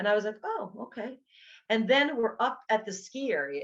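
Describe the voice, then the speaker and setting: Speaking with a New York accent, a woman uses a fairly high pitch at a fairly slow pace. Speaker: nutrition coach and teacher. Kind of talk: educational talk. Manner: casual, halting with fillers.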